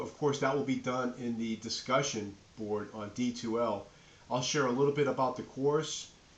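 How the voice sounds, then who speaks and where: Speaking fairly quickly with fairly even intonation, a man with a medium pitch and a slight New England accent is heard with audible room echo. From New England, Nashua, New Hampshire. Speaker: professor. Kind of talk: lecture. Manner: casual, filler-heavy.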